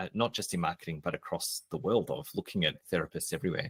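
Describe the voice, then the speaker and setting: Speaking fairly quickly, a man swings his pitch very widely. The recording is dry and close, free of echo. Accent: Australian. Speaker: marketing expert and business coach. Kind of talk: podcast interview. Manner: casual, conversational with fillers.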